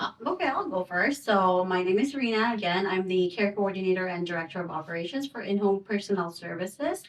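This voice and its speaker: There is noticeable background noise as a woman with a medium pitch speaks at a fairly quick pace, hardly pausing. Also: ordinary pitch variation. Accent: Filipino. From Philippines. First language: Waray. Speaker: home care coordinator. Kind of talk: interview. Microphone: too far from mic at first.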